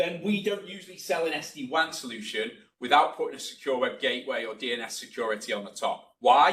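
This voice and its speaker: At a very fast pace with hardly any pauses, a man with a fairly high pitch and vocal fry sounds bright and sharp, his pitch swinging very widely and his loudness shifting in big jumps. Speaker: network solutions presenter. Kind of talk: webinar presentation. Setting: webinar.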